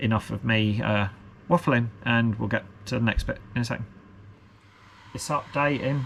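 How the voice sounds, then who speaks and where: A man with a British accent speaks at a medium pitch and moderate pace, with ordinary pitch variation and long, frequent pauses. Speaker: FPV drone hobbyist youtuber. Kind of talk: unboxing video, casual solo talk. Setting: at a workbench, alone. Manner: rambling, hesitant with many fillers.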